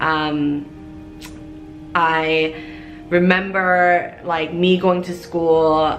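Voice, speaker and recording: Speaking with a Korean accent in a very deep, low pitch, a woman keeps a monotone, flat intonation over noticeable background noise and audible room echo. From Korea, US military base. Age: 30s. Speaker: YouTuber. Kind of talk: personal story time.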